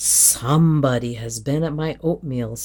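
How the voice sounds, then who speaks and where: A gruff put-on character voice at a low-to-middle pitch. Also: moderate pace. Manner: grumbling.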